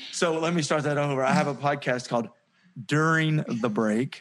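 Talking at a moderate pace in a Southern US accent, a man with a fairly high pitch shows ordinary pitch variation. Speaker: podcaster and sales consultant. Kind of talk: casual interview chat.

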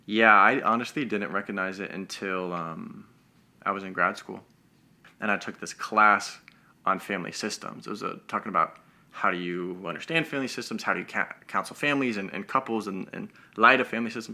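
This man has an unremarkable speaking voice, fairly low in pitch, with an American accent, ordinary pitch variation and a fairly quick pace. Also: big swings in loudness. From Denver, Colorado, US. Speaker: mental health coach. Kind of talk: casual chat.

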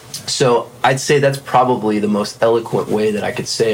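A man with a fairly low voice talks at a moderate speed, his intonation fairly even, amid noticeable background noise. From South Florida. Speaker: session drummer. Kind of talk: casual interview. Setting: studio.

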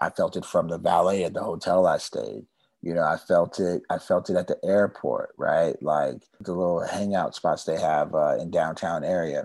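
Over a quiet background, a man with an American accent talks at a moderate pace with hardly any pauses. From California. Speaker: TV producer and documentary director. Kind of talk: interview.

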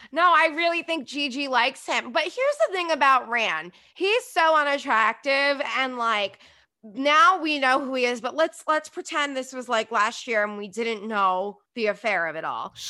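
A woman speaks in a raised, projected voice with a bright, sharp tone and high pitch. Her intonation is lively and her pace moderate. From New Jersey. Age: 30s. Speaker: podcast host and reality TV commentator. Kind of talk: casual chat.

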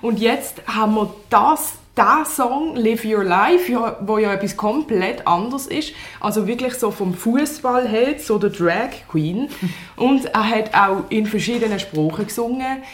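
A woman's fairly high voice at a very slow pace, lively in intonation, with a Swiss German accent and noticeable background noise. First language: Swiss German (speaking German). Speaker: newspaper journalist. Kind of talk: interview.

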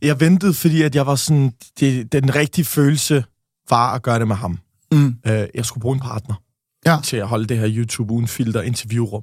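At a moderate pace, a somewhat breathy man speaks at a medium pitch. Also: ordinary pitch variation, dry, close sound with no echo. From Denmark. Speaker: podcaster. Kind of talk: casual interview.

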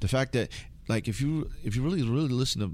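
With an American accent and vocal fry, a man talks at a very fast pace with lively intonation. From Southern California, Filipino American. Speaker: hip-hop DJ. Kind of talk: interview.

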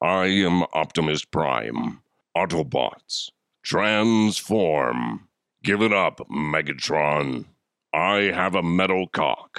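On a very clean recording with a silent background, a man uses a put-on character voice, very deep and low, at a very slow pace. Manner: heroic, commanding.

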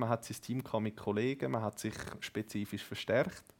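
This speaker has a normal speaking voice, keeping fairly even intonation at a moderate pace. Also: man. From Zurich Oberland, Switzerland. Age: 20s. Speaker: esports gamer, team captain. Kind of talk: casual interview.

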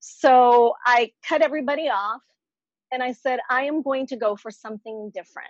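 At a moderate pace, a woman with an American accent uses an ordinary speaking voice with ordinary pitch variation. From Dominican family background, US. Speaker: TV anchor and voice actress. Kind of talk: casual chat.

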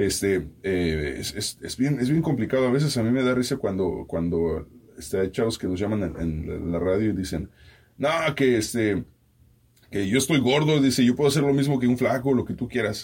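A man with a normal speaking voice talks at a moderate pace, his pitch medium and his intonation lively. The recording is very clean, with a silent background. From Mexico. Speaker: radio host and podcaster. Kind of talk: casual chat.

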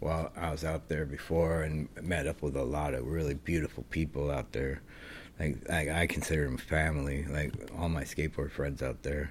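Very deep and low, a man's voice carries vocal fry and a flat monotone at a moderate pace on a very clean recording with a silent background. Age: 50s. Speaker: professional skateboarder. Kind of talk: casual chat.

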